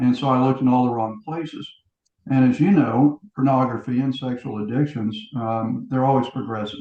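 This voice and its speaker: At a fairly quick pace, a man talks in an ordinary speaking voice at medium pitch with fairly even intonation. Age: 60s. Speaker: pastor and author in recovery. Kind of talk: interview testimony.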